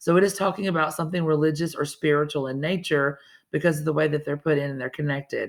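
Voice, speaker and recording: Very fast and with a Southern US accent, a woman speaks at a very deep, low pitch with fairly even intonation in a very clean recording with a silent background. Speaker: teacher. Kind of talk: lesson for students. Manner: casual, conversational.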